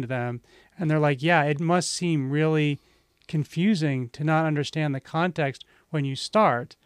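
A man with a normal speaking voice talks at a fairly high pitch with ordinary pitch variation, recorded very cleanly against a silent background with a dry, close sound and no echo. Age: 50s. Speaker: aikido practitioner. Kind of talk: casual chat.

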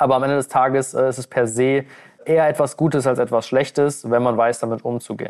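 Against a quiet background, a man speaks fairly quickly at medium pitch in a monotone, flat intonation. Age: 20s. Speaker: weight-loss coach. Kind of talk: podcast interview.

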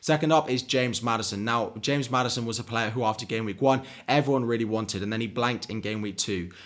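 Here a man talks with an English accent. His pace is very fast and his intonation fairly even. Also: medium pitch for a man. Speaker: fantasy football YouTuber. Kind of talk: solo video commentary. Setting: home recording. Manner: uneven, pausing to drink water.

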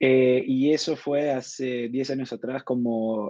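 Heard dry and close with no echo, a man speaks at a medium pitch in a flat, monotone way. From Argentina. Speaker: ad tech executive. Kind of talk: interview. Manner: hesitant, many fillers and repetitions.

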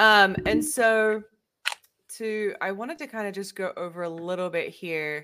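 With an Australian accent, a woman speaks in a medium pitch at a fairly slow pace. Her pitch variation is ordinary. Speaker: podcast host. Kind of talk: casual interview chat. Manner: upbeat, stoked, chatty.

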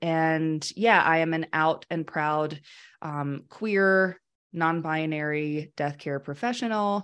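With an American accent and an unremarkable speaking voice, a woman talks at a fairly low pitch with ordinary pitch variation in a very clean recording with a silent background. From US South. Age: 30s. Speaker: death care educator. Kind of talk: podcast interview.

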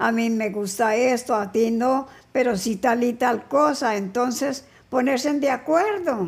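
A high-pitched woman at a fairly slow pace, with ordinary pitch variation. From Colombia, Neiva (Huila), later Cali. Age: 80s+. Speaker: grandmother, interviewee. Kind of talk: casual family interview. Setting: no headphones, hard of hearing.

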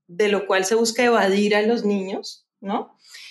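Speaking at a fairly slow pace, a woman keeps a medium pitch in a monotone, flat intonation. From Colombia, Cali. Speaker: novelist and journalist. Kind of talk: interview.

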